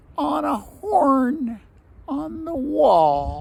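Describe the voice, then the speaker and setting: The speaker performs a put-on character voice at a fairly high pitch. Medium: read story.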